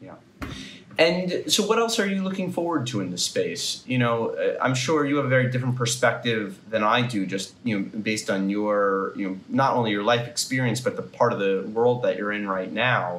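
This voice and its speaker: In a normal speaking voice, a man talks at a moderate pace with a medium pitch and lively intonation. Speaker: podcast interviewer. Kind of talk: interview questions. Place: home room. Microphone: earbuds.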